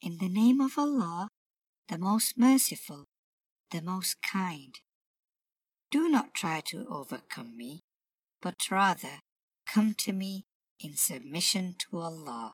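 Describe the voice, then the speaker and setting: Speaking very slowly, a woman uses a fairly low, somewhat breathy voice. Her pitch swings very widely, and the sound is dry and close with no echo. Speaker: voice actor playing Queen Bilqis. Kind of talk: dramatized reading of a character's lines.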